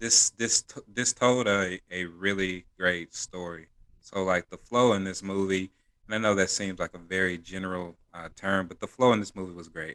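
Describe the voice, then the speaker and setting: A man's very deep, low voice with a bright, sharp tone, fairly even intonation and big swings in loudness, in a dry, close sound with no echo. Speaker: podcast co-host. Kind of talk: casual chat. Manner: monotone; slow.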